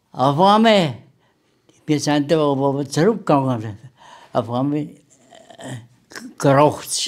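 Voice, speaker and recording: A fairly high-pitched man's voice with ordinary pitch variation. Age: 80s+. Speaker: war veteran. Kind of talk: interview answer.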